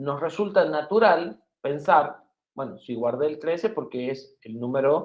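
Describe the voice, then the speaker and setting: Music plays behind a man's voice. He speaks at a fairly high pitch with ordinary pitch variation. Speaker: university lecturer. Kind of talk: lecture.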